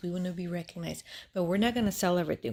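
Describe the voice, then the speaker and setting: Soft-spoken and somewhat breathy, a woman talks with fairly even intonation. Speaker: Bible storyteller. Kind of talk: casual Bible retelling. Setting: at home, family asleep. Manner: soft-spoken, speaking low; halting, many fillers.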